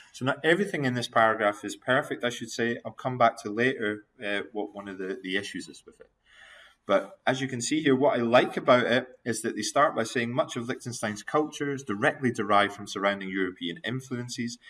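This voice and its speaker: The speaker uses a Scottish accent at a fairly quick pace. Pitch variation is ordinary. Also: man, medium pitch for a man. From Scotland. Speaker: university lecturer. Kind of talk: recorded video lecture giving feedback. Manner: animated.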